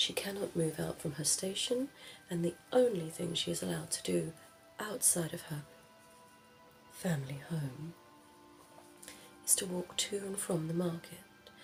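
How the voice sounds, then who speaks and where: Over music in the background, a woman talks at a fairly low pitch with ordinary pitch variation. She leaves long, frequent pauses. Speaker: ASMR creator doing a librarian roleplay. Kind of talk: ASMR roleplay, librarian talking to the listener about books. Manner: whispered, soft, slow.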